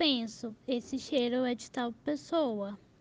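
A woman speaks at a very slow pace in a high pitch. Her intonation stays fairly even. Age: 20s. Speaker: journalism student. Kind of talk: interview testimony.

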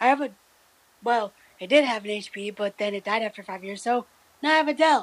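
Speaking with an American accent at a fairly high pitch and a fairly quick pace, a woman shows ordinary pitch variation, big swings in loudness and long, frequent pauses. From US Midwest. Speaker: radio co-host. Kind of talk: casual chat.

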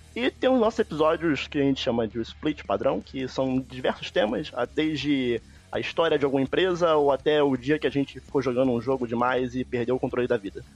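A man with an ordinary speaking voice talks fairly quickly at medium pitch, with ordinary pitch variation. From Brazil, Rio de Janeiro. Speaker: gaming podcaster. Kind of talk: casual chat.

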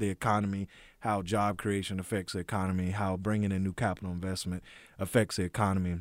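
Recorded very cleanly against a silent background, a man talks at a moderate pace in a dry, close sound with no echo. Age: 40s. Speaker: economic development professional. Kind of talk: casual radio interview.

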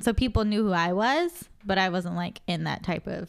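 Her pitch medium and varying in an ordinary way, a woman with an unremarkable speaking voice speaks at a moderate pace. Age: 20s. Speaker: podcast co-host. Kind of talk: casual chat.

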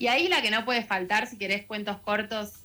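Music in the background behind a woman with a Rioplatense accent, a medium pitch and fairly even intonation. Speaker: radio book columnist. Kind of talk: radio book review segment.

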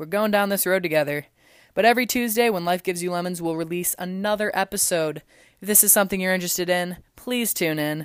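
A woman's fairly low-pitched, an ordinary speaking voice with ordinary pitch variation, in a very clean recording with a silent background. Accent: American. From US Midwest, Illinois (La Salle-Peru area). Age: 20s. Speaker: college student and podcast host. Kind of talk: casual solo podcast monologue.

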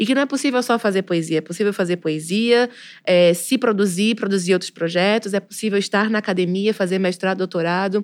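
In a very clean recording with a silent background, a woman with an unremarkable speaking voice talks fairly quickly at a medium pitch with fairly even intonation. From Pernambuco, Brazil. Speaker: poet and literature teacher. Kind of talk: casual interview chat.

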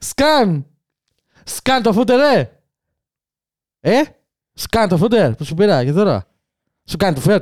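With vocal fry and very wide pitch swings around a medium pitch, a woman speaks at a very slow pace with long, frequent pauses, the sound dry and close with no echo. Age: 30s. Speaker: tech podcast co-host. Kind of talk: casual chat.

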